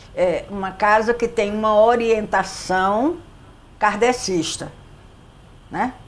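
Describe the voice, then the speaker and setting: A woman talks at a very slow pace with long, frequent pauses and ordinary pitch variation. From Brazil, Recife (Pernambuco). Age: 70s. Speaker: psychologist and spiritist center leader. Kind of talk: interview.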